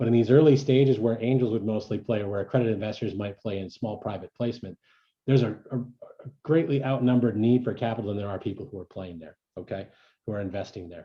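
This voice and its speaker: A man speaks very fast at a medium pitch, with ordinary pitch variation and big swings in loudness. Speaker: startup investment organizer. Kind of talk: presentation.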